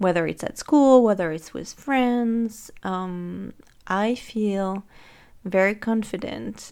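In a French accent, a woman speaks very slowly at a medium pitch with ordinary pitch variation, in a very clean recording with a silent background. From France. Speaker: life coach. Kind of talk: solo podcast monologue.

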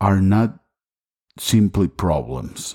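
With a Spanish accent, a man speaks fairly slowly in a very deep, low voice of dark, mellow tone and ordinary pitch variation. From Costa Rica. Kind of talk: sermon.

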